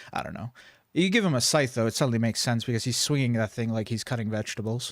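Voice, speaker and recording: This soft-spoken man has a medium pitch and ordinary pitch variation, talking at a very fast pace on a very clean recording with a silent background. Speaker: gaming streamer. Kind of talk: live game commentary. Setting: live stream at home computer. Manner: casual, rambling with filler hums.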